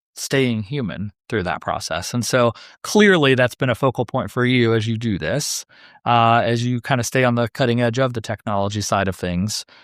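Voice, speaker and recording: Very clean recording, silent background, dry and close with no echo. The man's voice is medium-pitched with ordinary pitch variation. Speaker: podcast host. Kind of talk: interview. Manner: fast; animated.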